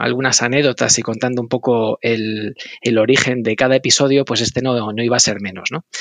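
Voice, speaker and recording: With a plain, everyday voice, a man speaks at a medium pitch in a dry, close sound with no echo. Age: 40s. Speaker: podcast host. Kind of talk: interview conversation; scripted narration.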